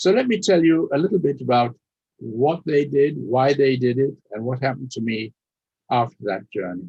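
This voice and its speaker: At a moderate pace, a man with a German accent speaks in a medium pitch with lively intonation. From Austria, later raised in Leeds. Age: 90s. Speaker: Holocaust survivor speaker. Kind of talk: testimony. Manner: formal.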